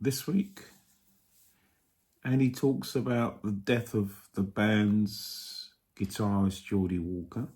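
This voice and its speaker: A man with an English accent talks at a very slow pace with long, frequent pauses, his somewhat breathy voice showing ordinary pitch variation. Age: 60s. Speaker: vlogger. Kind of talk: casual monologue. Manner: hesitant, many fillers.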